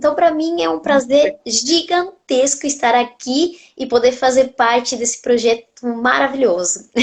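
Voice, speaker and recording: Speaking with a slight Argentine accent, a woman talks at a high pitch with lively intonation. Her pace is fairly slow, yet she leaves hardly any pauses. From Argentina. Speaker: nutritionist. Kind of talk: interview on a live stream.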